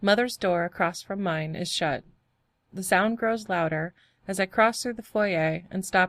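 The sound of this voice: In an unforced reading voice with ordinary pitch variation, the speaker is heard over a quiet background.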